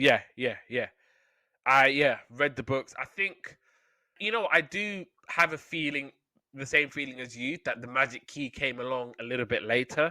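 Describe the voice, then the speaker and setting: The tone is bright and sharp, with a British accent. Pitch varies in an ordinary way, and the pace is moderate. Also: man, fairly high pitch for a man. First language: Somali. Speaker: podcast host. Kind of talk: casual chat; reading aloud.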